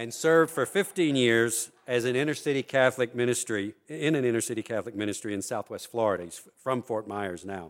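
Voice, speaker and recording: A man with a normal speaking voice talks at a fairly quick pace in a medium pitch, with ordinary pitch variation and hardly any pauses. The recording is very clean, with a silent background. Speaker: think tank director and panel moderator. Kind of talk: panel discussion, public remarks. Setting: live event with audience.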